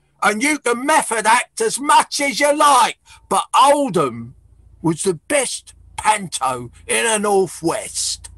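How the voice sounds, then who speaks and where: Someone speaks in a put-on character voice at a fairly slow pace. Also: man, extremely high pitch for a man. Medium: stage play. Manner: blustering, confrontational.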